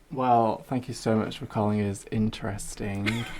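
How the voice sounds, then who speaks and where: A Hull accent at a fairly slow pace with fairly even intonation, in a very clean recording with a silent background. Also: man. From Hull, East Yorkshire. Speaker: freelance writer. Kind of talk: casual chat.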